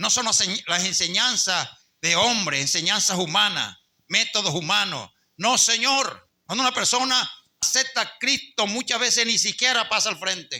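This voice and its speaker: A man with a high voice speaks at a moderate pace with very even loudness, a bright, sharp tone and ordinary pitch variation. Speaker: pastor. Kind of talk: sermon.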